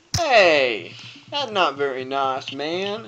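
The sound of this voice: A man puts on a character voice with a fairly high pitch and a bright, sharp tone. He moves very slowly through big pitch swings.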